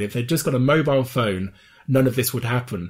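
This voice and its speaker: A man's somewhat breathy voice at a medium pitch, fairly quick pace, ordinary pitch variation. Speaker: podcast co-host. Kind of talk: casual chat.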